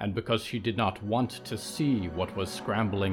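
The pitch varies in an ordinary way as someone reads in a natural reading voice.

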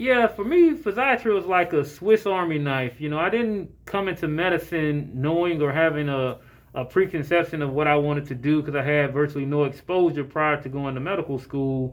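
With an American accent, a man speaks fairly quickly in a normal speaking voice, with hardly any pauses. His pitch is fairly high, with ordinary variation. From Jacksonville, Florida. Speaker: physician. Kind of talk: interview.

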